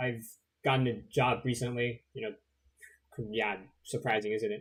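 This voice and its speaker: Speaking with lively intonation, this man keeps a moderate tempo. There is a somewhat breathy quality to his voice. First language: not English. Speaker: video game streamer. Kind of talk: gameplay livestream commentary. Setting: livestream. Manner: hesitant, many fillers.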